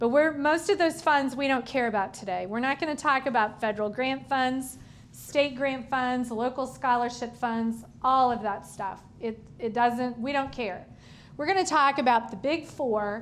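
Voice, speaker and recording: In a room with audible echo, a woman speaks at a moderate pace. Her pitch is high, with ordinary variation. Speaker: school finance lecturer, former superintendent. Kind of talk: lecture. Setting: room with live audience. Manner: informal, conversational.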